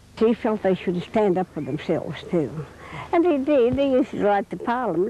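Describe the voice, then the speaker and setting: A woman at a fairly quick pace, her pitch swinging very widely, over noticeable background noise. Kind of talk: interview answer, recounting memories.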